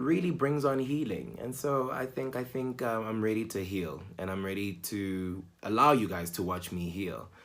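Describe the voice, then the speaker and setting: With hardly any pauses, a man speaks at a moderate pace in a fairly low pitch with lively intonation. Audible room echo surrounds his voice. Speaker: vlogger. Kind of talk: personal vlog monologue. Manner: halting, with fillers and repetitions.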